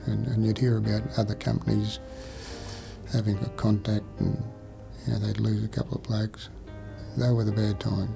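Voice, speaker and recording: A quiet man speaks at a moderate pace with long, frequent pauses while music plays in the background. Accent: Australian. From South Burnett, Queensland, Australia. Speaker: Vietnam War veteran. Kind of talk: personal life story interview. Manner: quietly spoken.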